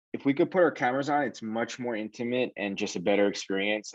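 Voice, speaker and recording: A man with a strong New York accent talks very fast with ordinary pitch variation. The background is quiet. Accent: thick New York. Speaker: sales director. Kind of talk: career talk, interview. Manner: casual, filler-heavy.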